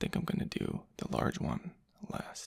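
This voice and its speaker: A whisper, fairly slow in pace. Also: man. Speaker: ASMR creator. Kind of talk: ASMR soft-spoken talk to camera. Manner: soft-spoken.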